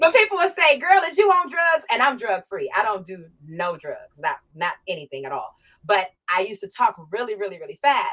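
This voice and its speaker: A woman speaks at a fairly quick pace in a bright, sharp tone, her high pitch swinging very widely and her loudness rising and falling in big swings. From Ohio, Warren. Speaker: R&B and hip-hop artist. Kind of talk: interview conversation. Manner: fast.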